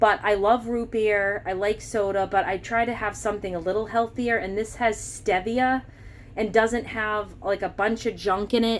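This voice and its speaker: A woman with an American accent at a medium pitch and a moderate pace. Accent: Massachusetts accent, shows when excited. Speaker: grocery haul vlogger. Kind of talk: casual product haul walkthrough. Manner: casual, chatty.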